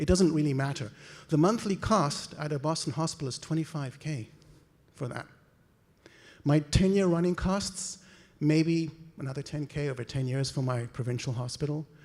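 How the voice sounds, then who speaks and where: Breathing somewhat breathily, a man with a slight South African accent and fairly high pitch speaks with long, frequent pauses. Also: ordinary pitch variation, moderate pace. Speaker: conference speaker, medical imaging researcher. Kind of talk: conference talk. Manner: animated.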